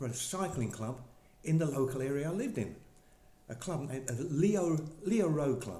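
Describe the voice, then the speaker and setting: A man with an English accent speaks in a dark, mellow, somewhat breathy tone with lively intonation, amid audible room echo. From England (Essex / East London). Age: 70s. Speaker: former professional cyclist. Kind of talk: interview. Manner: hesitant, many fillers.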